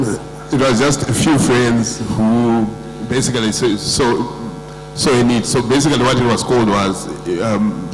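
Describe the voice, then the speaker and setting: A man talks at a medium pitch. There is noticeable background noise along with audible room echo. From Zimbabwe. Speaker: insurance company executive. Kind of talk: panel discussion. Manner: halting, many fillers and repetitions.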